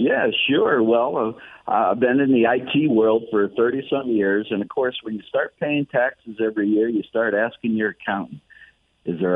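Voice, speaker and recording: With a plain, everyday voice, a man speaks at a moderate pace and medium pitch. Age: 60s. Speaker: real estate investor and mentor. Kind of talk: radio interview.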